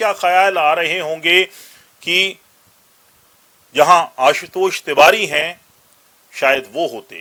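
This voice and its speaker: A man's voice sits at a high pitch with a bright, sharp tone. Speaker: news commentator. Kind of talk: news commentary narration.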